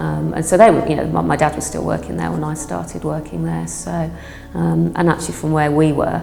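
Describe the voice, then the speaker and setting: A woman with a Brummie accent talks at a fairly quick pace. The recording carries noticeable background noise and audible room echo. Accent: Birmingham (Brummie). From Birmingham, England (Northfield). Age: 60s. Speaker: retired office worker, project participant. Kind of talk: interview. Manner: hesitant, many filler ums.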